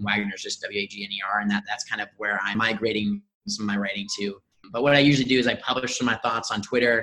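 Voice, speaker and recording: A man talks very fast in a fairly low pitch. His intonation is monotone and flat. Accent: Midwestern American. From US Midwest, Indianapolis. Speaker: startup growth lead. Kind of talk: casual interview.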